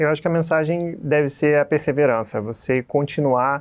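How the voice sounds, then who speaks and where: A man talks at a fairly quick pace in a fairly high voice with ordinary pitch variation. The background is quiet. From Rio de Janeiro state, Brazil (Petrópolis); Rio de Janeiro state, Brazil. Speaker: physiotherapy professor; physiotherapy teacher. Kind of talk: interview. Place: office. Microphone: lapel.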